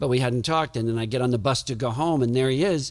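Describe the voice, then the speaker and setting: A normal speaking voice from a man with an American accent, medium in pitch, with ordinary pitch variation, on a very clean recording with a silent background. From US South, New Orleans. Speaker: author and Marine veteran. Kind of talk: podcast interview.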